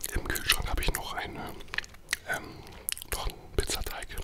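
Whispering at a moderate pace, a man speaks. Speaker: ASMR mukbang creator. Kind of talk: ASMR eating video talk. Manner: whispered. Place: studio. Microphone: studio mic.

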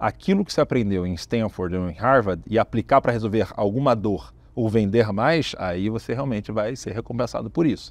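Lively intonation from a man at a moderate pace, in a dry sound with no echo. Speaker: tech company founder and CEO; interviewee. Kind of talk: business interview. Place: studio. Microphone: lapel.

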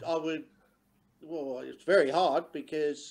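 Speaking at a fairly slow pace, a man with a fairly high pitch keeps a monotone, flat intonation. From England. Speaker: former footballer. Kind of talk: casual chat. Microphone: video call.

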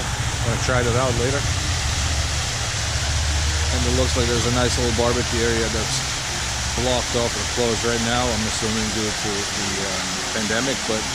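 Loud background noise fills this dry, echo-free recording of speech at a moderate pace. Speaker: travel vlogger. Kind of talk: casual vlog chat. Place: waterside. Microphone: phone near.

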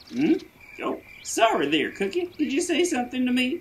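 Pitched high, a cartoonish character voice speaks at a moderate pace.

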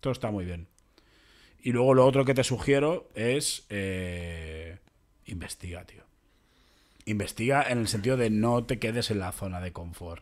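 A man speaks fairly slowly at a fairly low pitch, with lively intonation, big swings in loudness and long, frequent pauses. The recording is very clean with a silent background. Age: 30s. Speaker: podcast host, comedian. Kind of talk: casual chat.

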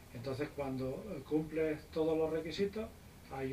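There is light background noise behind this man. His pitch is fairly high and his pace moderate. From Spain. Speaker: private pilot; guest. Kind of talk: casual interview; interview answer. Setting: visiting US flight school. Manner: hesitant, many fillers. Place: office. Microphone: camera far.

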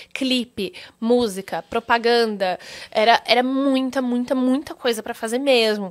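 Over a quiet background, a woman with a high pitch talks at a fairly slow pace with ordinary pitch variation. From Brazil. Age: 20s. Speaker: actress. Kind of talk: interview. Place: studio. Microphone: studio mic.

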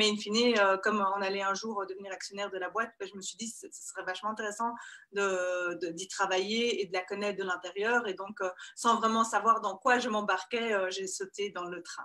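A woman speaks at a moderate pace in a bright, sharp tone. Her intonation is monotone and flat, with a quiet background behind her. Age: 30s. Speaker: construction company CEO; guest. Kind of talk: interview. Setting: video call. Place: office. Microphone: video call.

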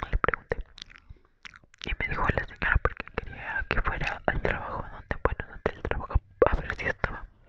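Breathy whispering at a moderate pace comes through dry with no echo, over noticeable background noise. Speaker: storyteller. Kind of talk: casual storytime vlog chat. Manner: close, breathy inaudible ASMR whisper. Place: home room. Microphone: earbuds.

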